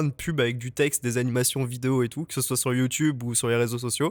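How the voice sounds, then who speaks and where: A man at medium pitch, fairly quick and fairly even in intonation, in a dry, close recording with no echo and a very clean, silent background. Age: 20s. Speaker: junior motion designer. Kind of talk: podcast interview. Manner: hesitant, many fillers.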